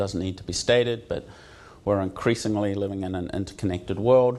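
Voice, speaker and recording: The speaker has a New Zealand accent and fairly even intonation. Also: man. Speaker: university associate dean. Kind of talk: conference talk. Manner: many filler words (um, uh).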